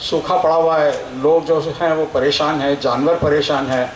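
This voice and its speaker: With a Telangana accent, a man talks over noticeable background noise. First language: Telugu (speaking Hindi). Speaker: scientist. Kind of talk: public speech. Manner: hesitant, filler words.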